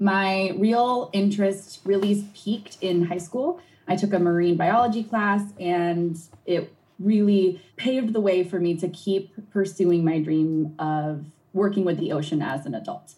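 Speaking fairly slowly with an American accent, a woman sounds somewhat breathy in a medium pitch. Her tone is dark and mellow, with ordinary pitch variation. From New England, US. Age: 30s. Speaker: marine scientist and environmental activist. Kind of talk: interview answering a child's questions.

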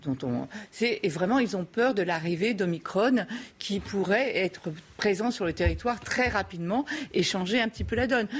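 At a moderate pace, a woman with a normal speaking voice talks at a medium pitch with lively intonation. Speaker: debate panelist. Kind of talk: debate.

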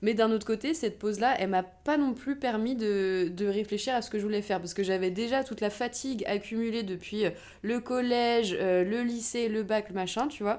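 Moving at a moderate pace, a woman uses an ordinary speaking voice, fairly high in pitch with ordinary variation. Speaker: podcast co-host. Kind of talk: casual chat.

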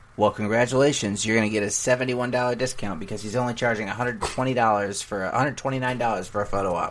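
Over noticeable background noise, a man talks at a very fast pace with hardly any pauses, his medium-pitched voice keeping a fairly even intonation. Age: 30s. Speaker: podcast co-host. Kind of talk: casual chat.

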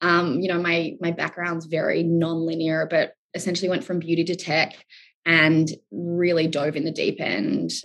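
Speaking at a moderate pace, a woman with an Australian accent uses a fairly low pitch, fairly even intonation and vocal fry. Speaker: startup founder. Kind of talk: interview.

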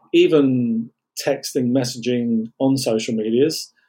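In an English Midlands accent, a man with a dark, mellow tone speaks at medium pitch with monotone, flat intonation. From England. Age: 50s. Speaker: vaccine injury advocate. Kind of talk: interview.

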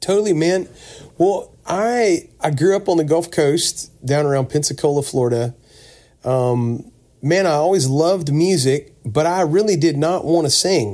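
A man speaks in a plain, everyday voice at a fairly high pitch and a fairly slow pace. His loudness is very even, with ordinary pitch variation. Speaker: singer. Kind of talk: casual interview chat. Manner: casual, friendly.

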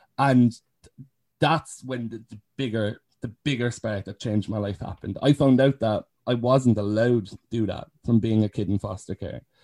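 With a Cork accent, this man has a dark, mellow tone and fairly even intonation. His loudness swings widely in a dry, close sound with no echo. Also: medium pitch for a man, moderate pace. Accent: Cork Irish. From Ireland, County Cork. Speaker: care leaver and youth advocate. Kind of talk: casual interview. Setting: video call.

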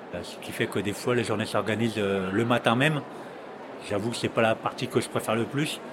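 A man's medium-pitched voice at a fairly quick pace, fairly even in intonation, over noticeable background noise. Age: 50s. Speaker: gardener. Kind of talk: testimony. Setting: trade fair. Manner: halting, many hesitations.

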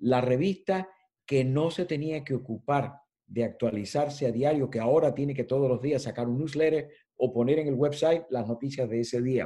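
The man's voice has a dark, mellow tone. It sits fairly high in pitch. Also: ordinary pitch variation, moderate pace. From Cuba. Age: 70s. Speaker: editorial design consultant and journalism professor. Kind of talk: interview.

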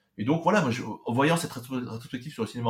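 A man talks at a very fast pace. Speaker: anime specialist and translator. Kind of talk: interview. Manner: halting, frequent hesitations.

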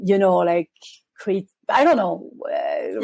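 A woman with a French accent, medium in pitch, at a fairly slow pace. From France. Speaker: life coach. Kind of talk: casual interview. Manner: hesitant, many fillers.

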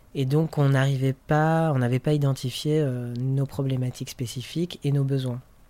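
The voice keeps very even loudness and monotone, flat intonation at a moderate pace. There is noticeable background noise. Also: man, fairly high pitch for a man. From France. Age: 30s. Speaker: artist and activist. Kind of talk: interview. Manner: halting.

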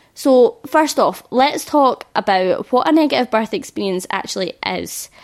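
Vocal fry paired with lively intonation. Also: woman. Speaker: podcast host, hypnobirthing teacher. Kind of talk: solo podcast talk. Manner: animated.

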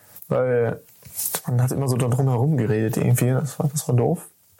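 At a moderate pace, the voice comes across somewhat breathy, with a dark, mellow tone and fairly even intonation. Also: man. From Lemgo, Germany. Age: 20s. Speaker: software development apprentice. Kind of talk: casual interview.

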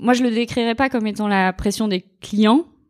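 A woman speaks at a moderate pace, her pitch fairly high. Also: very clean recording, silent background. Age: 30s. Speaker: lawyer. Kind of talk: interview. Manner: halting.

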